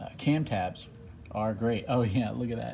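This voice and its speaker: A man talks with a medium pitch and ordinary pitch variation. There is noticeable background noise. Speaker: off-road truck enthusiast. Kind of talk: casual talk to camera. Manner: halting, stuttering, many fillers.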